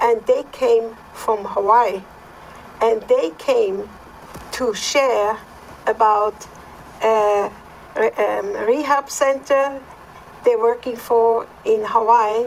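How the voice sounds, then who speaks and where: With a Swiss accent, a woman with a fairly high pitch speaks at a very slow pace with fairly even intonation and long, frequent pauses, over noticeable background noise. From Switzerland. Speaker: podcast co-host. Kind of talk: personal testimony.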